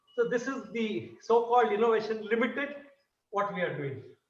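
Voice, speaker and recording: A man's extremely high-pitched voice with ordinary pitch variation, a fairly quick pace and audible room echo. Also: long, frequent pauses. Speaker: dance guru. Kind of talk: lecture demonstration.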